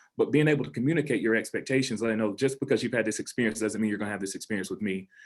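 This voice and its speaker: This man has a Southern US accent. He talks at a very fast pace. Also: medium pitch for a man, ordinary pitch variation. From US South. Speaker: high school principal. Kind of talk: panel discussion.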